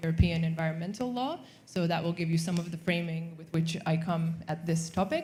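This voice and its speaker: A woman's fairly low-pitched voice at a moderate pace, with music in the background and audible room echo. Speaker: sustainable investment banker. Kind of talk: panel discussion. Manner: loud.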